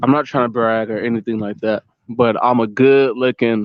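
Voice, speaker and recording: Speaking at a fairly slow pace, a man with an American accent holds a medium pitch in a monotone, flat intonation. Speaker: vlogger. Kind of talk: casual rant to camera. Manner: repetitive, conversational with fillers.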